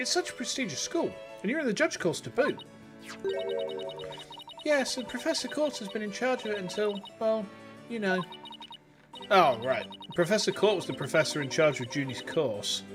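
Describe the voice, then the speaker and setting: The speech moves at a moderate pace with long, frequent pauses. Music plays in the background. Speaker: VTuber streamer. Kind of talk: reading game dialogue aloud on livestream.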